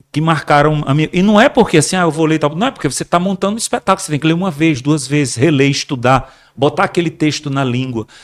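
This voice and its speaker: Barely pausing, a man talks at a very fast pace in a fairly high pitch with ordinary pitch variation, on a very clean recording with a silent background. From Brazil, Rio Grande do Norte (Mossoró). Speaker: actor. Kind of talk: podcast interview. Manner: halting, repeats words.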